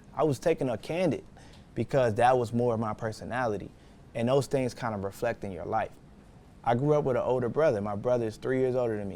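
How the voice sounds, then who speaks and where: With an American accent, a man talks at a very fast pace in a medium pitch. His tone is dark and mellow, with ordinary pitch variation. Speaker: photographer and business owner teaching a course. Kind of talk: lecture. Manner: quiet; casual.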